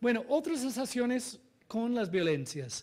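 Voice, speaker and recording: A man with a non-native accent, fairly slow in pace, with very wide pitch swings. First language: not Spanish (speaking Spanish). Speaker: NGO director and researcher presenting study findings. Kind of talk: conference presentation. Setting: seminar with live audience. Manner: halting, with frequent fillers and self-corrections.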